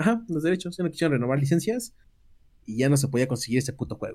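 A man talks at a very fast pace with lively intonation. His fairly high voice has a dark, mellow tone. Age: 20s. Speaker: podcast co-host. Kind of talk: casual chat.

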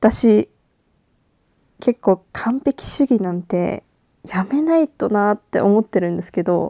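A woman talks at a very slow pace with long, frequent pauses, her dark, mellow tone carrying lively intonation and big swings in loudness, in a dry, close recording with no echo. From Japan. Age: 20s. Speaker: podcast host. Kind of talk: casual monologue. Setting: at home in bed. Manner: halting.

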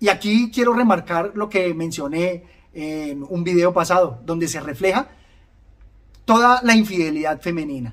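A man with a high pitch talks at a fairly slow pace, his intonation lively. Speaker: video book reviewer. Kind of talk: literary audiobook reading of novel passages, interspersed with commentary. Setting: online video channel. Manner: read-aloud narration, measured and expressive in the novel's reflective tone; formal and reflective.

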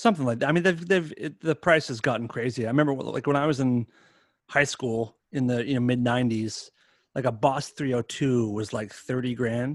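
At a fairly quick pace, a man with an unremarkable speaking voice talks at medium pitch with ordinary pitch variation. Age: 40s. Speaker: musician. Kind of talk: casual chat. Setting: video call.

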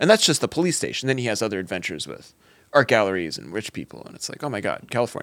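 The recording is very clean, with a silent background. A man speaks very fast with vocal fry and very wide pitch swings. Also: medium pitch for a man. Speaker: podcast co-host. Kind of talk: casual banter.

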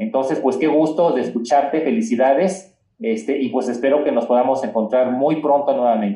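Lively intonation marks this man's dark, mellow tone at a medium pitch. He talks at a moderate pace with hardly any pauses. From Mexico. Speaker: cultural heritage association president. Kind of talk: casual chat. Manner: halting.

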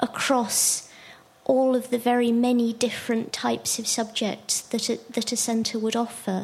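Against noticeable background noise, a woman with a fairly high pitch talks at a fairly slow pace in a monotone, flat way. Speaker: audience member asking questions. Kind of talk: discussion question in seminar.

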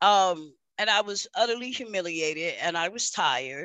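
A fairly slow delivery with a New York accent. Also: woman. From New York City. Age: 50s. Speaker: peer support worker, former prisoner. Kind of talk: testimony.

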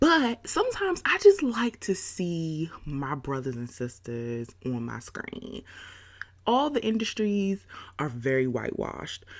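A woman speaks in an animated tone with big swings in loudness, over noticeable background noise. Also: fairly slow pace. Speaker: podcast host. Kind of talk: casual monologue. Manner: animated, laughing often.

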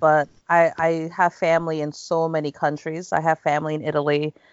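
With an American accent, a woman speaks in a very deep, low pitch and a monotone, flat intonation. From United States. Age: 40s. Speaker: university language teacher. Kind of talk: casual chat.

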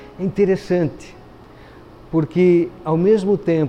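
With noticeable noise in the background, the pitch moves in an ordinary way. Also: man. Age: 50s. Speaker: pastor. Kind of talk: sermon. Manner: hesitant fillers.

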